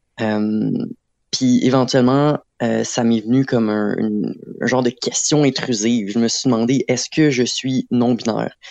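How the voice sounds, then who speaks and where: Using a normal speaking voice, a man with a medium pitch talks at a fairly slow pace with fairly even intonation and very even loudness. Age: 20s. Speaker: art student. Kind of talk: interview.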